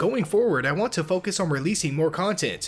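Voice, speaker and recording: Against music in the background, a man speaks at a moderate pace with lively intonation. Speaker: mobile gaming YouTuber. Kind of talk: channel update talk to camera.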